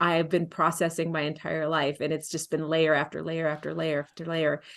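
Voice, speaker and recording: With an American accent, a woman speaks at a fairly quick pace in a very deep, low pitch, monotone and flat against a quiet background. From Texas, San Antonio. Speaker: folk singer-songwriter. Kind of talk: casual interview chat.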